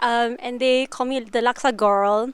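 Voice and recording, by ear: At a fairly slow pace, a woman with fairly high pitch speaks in a clear, smooth tone with fairly even intonation.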